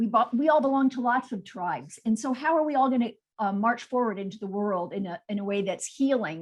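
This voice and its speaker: Lively intonation and a fairly quick pace with hardly any pauses mark a plain, everyday voice. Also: woman, fairly high pitch for a woman. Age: 60s. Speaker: textile artist. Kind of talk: artist presentation on video call.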